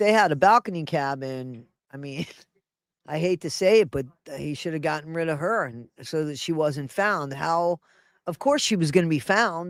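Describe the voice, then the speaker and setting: Here is a plain, everyday voice, a man's at a fairly high pitch with ordinary pitch variation. The recording is very clean, with a silent background. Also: moderate pace. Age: 60s. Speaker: news and entertainment livestream host. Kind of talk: casual commentary over a played news clip.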